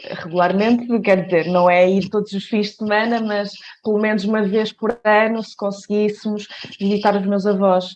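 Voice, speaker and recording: A woman at medium pitch and a moderate pace, in a flat monotone. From Portugal, Coimbra. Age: 20s. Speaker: dancer. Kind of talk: podcast interview. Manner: hesitant, many fillers.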